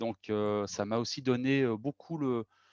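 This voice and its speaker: Against a quiet background, a man talks at a very slow pace with a medium pitch and ordinary pitch variation. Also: dry, close sound with no echo. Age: 40s. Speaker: organizational consultant, company co-founder. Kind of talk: interview. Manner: hesitant, many fillers and repetitions.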